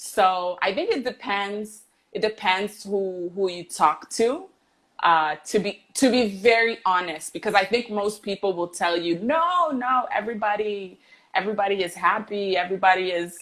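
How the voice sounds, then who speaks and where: Medium in pitch with ordinary pitch variation, a woman speaks at a moderate pace in an unremarkable speaking voice. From Canada, Toronto. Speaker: English teacher. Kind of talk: casual chat. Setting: livestream video call.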